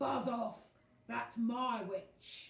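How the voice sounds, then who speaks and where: A put-on character voice, female-sounding, shrill and fairly high pitched, yet croaky and growling. A slight echo surrounds it. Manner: aggressive, shouting.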